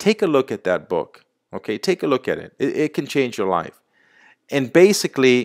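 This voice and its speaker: A man speaks at a moderate pace and fairly high pitch, with vocal fry and very wide pitch swings. His tone is animated, and the sound is dry and close with no echo. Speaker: sales presenter. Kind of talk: sales pitch.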